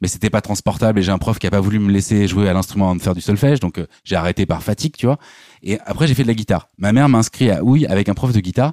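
Very fast and fairly low-pitched, a man speaks with a dark, mellow tone in a dry, close sound with no echo on a very clean recording, silent background. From Normandy, France. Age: 40s. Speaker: YouTuber and musician. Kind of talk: casual chat.

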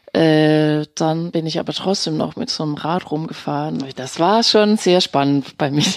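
A woman with a very deep, low voice talks at a fairly slow pace with hardly any pauses and ordinary pitch variation. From Denmark. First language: Danish (speaking German). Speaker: actress and voice artist. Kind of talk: interview. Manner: hesitant with fillers.

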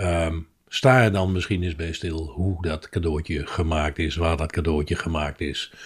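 A man's very deep, low, somewhat breathy voice with fairly even intonation at a fairly slow pace. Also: very clean recording, silent background. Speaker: podcast co-host. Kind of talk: recipe tutorial; casual chat.

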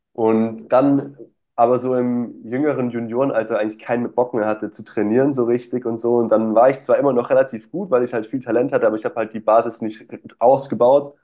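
Fairly quick speech from a man with an ordinary speaking voice, medium in pitch, with fairly even intonation. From Stuttgart area, Germany. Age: 20s. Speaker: nutrition coach. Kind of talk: casual interview.

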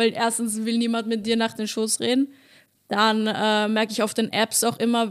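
A normal speaking voice from a woman, pitched fairly high and moving at a moderate pace. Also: very clean recording, silent background. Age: 30s. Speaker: stand-up comedian. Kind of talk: casual chat.

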